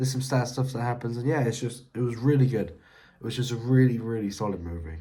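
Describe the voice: Strong room echo surrounds a man who talks at a fairly quick pace in a dark, mellow tone. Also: medium pitch for a man, ordinary pitch variation.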